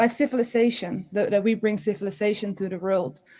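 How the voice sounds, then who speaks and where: A woman with a Dutch accent speaks at a fairly high pitch in a dark, mellow tone. Her intonation is fairly even, and the recording is very clean with a silent background. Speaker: historian. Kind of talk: panel discussion. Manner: halting, many fillers and restarts.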